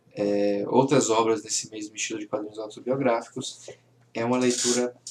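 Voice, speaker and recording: Over noticeable background noise, a man of medium pitch talks with fairly even intonation. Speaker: comic book reviewer. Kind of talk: casual video review.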